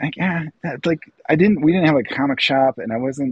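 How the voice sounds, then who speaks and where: A man's voice with vocal fry. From northern Illinois (Lake County). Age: 40s. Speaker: illustrator and artist. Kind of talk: casual chat.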